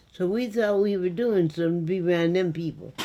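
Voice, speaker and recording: Fairly quick and lively, a woman with an American accent speaks at a fairly low pitch in a dark, mellow tone. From Western New York. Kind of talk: interview answer.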